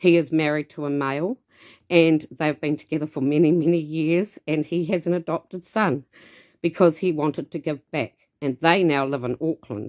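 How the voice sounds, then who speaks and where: In a very clean recording with a silent background and a dry, close sound with no echo, a woman with a New Zealand accent speaks at a moderate pace, her very deep, low pitch showing ordinary pitch variation. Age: 50s. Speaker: dance studio owner. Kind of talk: personal introduction to camera. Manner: loud.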